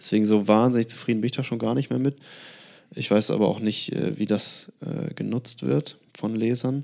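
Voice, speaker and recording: The voice has a dark, mellow tone, ordinary pitch variation, and long, frequent pauses. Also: man, medium pitch for a man, moderate pace. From northern Germany, near Hamburg. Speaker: writer. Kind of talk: casual chat.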